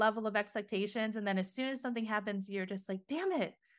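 A woman with an unremarkable speaking voice talks at a fairly high pitch with ordinary pitch variation, on a very clean recording with a silent background. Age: 40s. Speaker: podcast host and mindset coach. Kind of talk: scripted monologue intro; casual interview chat.

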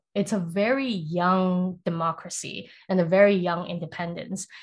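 A woman with a medium-pitched, somewhat breathy voice speaks at a moderate pace on a very clean recording with a silent background. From Singapore (raised in Taiwan to age 10). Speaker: product manager. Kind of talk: casual interview.

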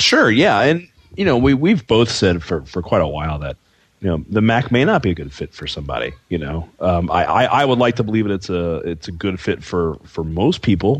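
Using very wide pitch swings, a man with an American accent talks at a fairly quick pace and a fairly low pitch. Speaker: podcast co-host. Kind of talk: casual chat.

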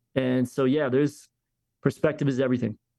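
A man with an American accent talks at medium pitch. His intonation is monotone and flat. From Philadelphia, US. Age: 40s. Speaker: pastor. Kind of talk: interview.

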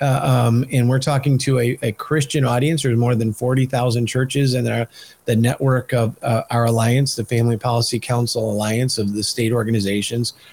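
A somewhat breathy voice with an American accent, moderate pace, very even loudness and monotone, flat intonation. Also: man, medium pitch for a man. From Michigan. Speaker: podcast host and policy organization leader. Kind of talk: interview. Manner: halting, many fillers and repeats.

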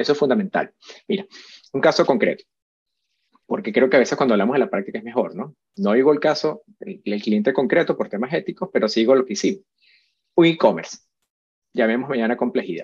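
A man at a medium pitch talks at a fairly quick pace, with very wide pitch swings and big swings in loudness. Long, frequent pauses break up his speech. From Venezuela. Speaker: web analytics specialist. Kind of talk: interview.

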